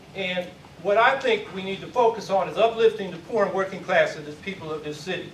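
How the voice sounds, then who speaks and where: A man with a high pitch talks at a fairly quick pace with ordinary pitch variation in an American accent. Background noise is noticeable and room echo is audible. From San Francisco Bay Area, US. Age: 60s. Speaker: mayoral candidate. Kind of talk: candidate forum speech. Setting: community forum with audience. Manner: loud.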